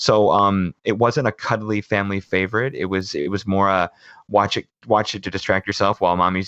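Here is a man with an unremarkable speaking voice. His pitch is fairly low, with ordinary variation. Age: 30s. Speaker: school teacher and film critic. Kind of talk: casual chat.

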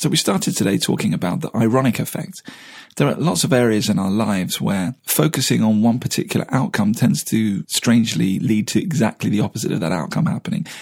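Speaking at a very fast pace with a British accent, a man keeps a medium pitch while his voice swings very widely. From Britain. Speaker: podcast co-host. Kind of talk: podcast interview; scripted outro.

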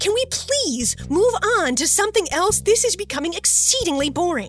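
Someone does a squeaky, put-on character voice. Clear music plays in the background. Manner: complaining, bored.

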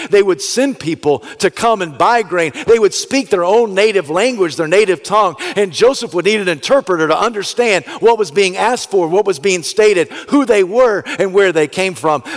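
At a moderate pace and with hardly any pauses, a man talks in a high voice with ordinary pitch variation over noticeable background noise. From US South. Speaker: pastor. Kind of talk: sermon.

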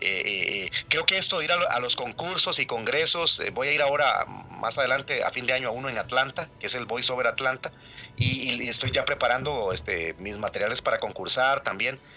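A man at medium pitch with a Costa Rican accent, fairly quick pace and ordinary pitch variation. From Costa Rica, rural Cafetal area. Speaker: voice actor. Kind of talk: interview. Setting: phone call.

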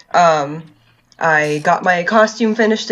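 Medium in pitch, this woman has a normal speaking voice. Her pitch varies in an ordinary way. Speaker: podcast host. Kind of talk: casual chat. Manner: laughs often.

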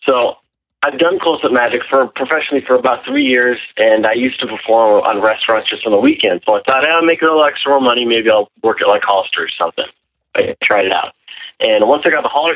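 A man with an American accent, medium pitch, ordinary pitch variation, a fairly quick pace and a plain, everyday voice. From Wisconsin. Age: 20s. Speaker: caller, magician. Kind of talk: call-in conversation. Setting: phone call.

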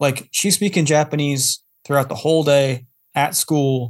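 In an unremarkable speaking voice, a man with an American accent talks at a moderate pace, his fairly high pitch carried on fairly even intonation. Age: 30s. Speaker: podcast guest, parent. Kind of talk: casual chat.

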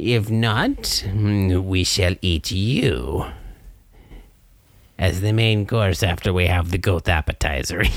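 A man puts on a character voice with a very deep, low pitch, speaking at a very slow pace with long, frequent pauses. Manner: sly, amused, menacing.

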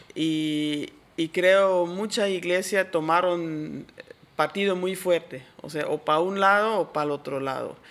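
A woman speaks in a normal speaking voice, pitched fairly low. Her pace is fairly slow and her intonation fairly even. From Switzerland. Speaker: church worker and teacher. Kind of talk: interview.

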